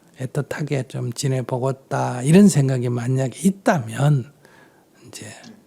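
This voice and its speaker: A man speaks at a very slow pace with fairly even intonation over noticeable background noise. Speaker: Buddhist monk. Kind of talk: dharma talk answering audience questions.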